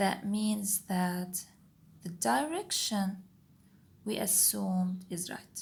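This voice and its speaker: A woman with a non-native accent speaks at a very slow pace in a medium-pitched, somewhat breathy voice. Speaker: engineering tutor, video creator. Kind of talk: tutorial. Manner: step-by-step, occasionally self-correcting.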